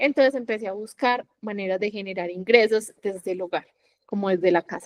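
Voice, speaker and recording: In a Medellín accent, a woman speaks at a moderate pace in a fairly high pitch with fairly even intonation, the sound dry and close with no echo. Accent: Colombian Paisa (Medellín) Spanish. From Colombia, Medellín. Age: 20s. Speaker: digital entrepreneur, affiliate marketer. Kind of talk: podcast interview.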